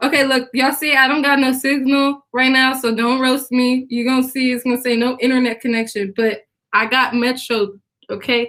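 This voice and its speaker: A woman speaks at a moderate pace with very even loudness and monotone, flat intonation. Her high-pitched voice is shaky, with a bright, sharp tone. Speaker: singer and interview guest. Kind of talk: interview. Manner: shaky, jittery.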